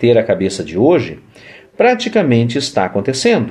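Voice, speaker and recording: A man's voice with a dark, mellow tone. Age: 40s. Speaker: vlogger. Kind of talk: casual monologue. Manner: halting. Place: home room. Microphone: phone near.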